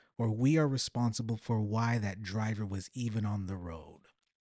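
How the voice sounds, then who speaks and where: A man's voice, dry and close with no echo, against a quiet background. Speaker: podcast host. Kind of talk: solo podcast monologue, casual and extemporaneous. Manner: conversational, informal, reflective.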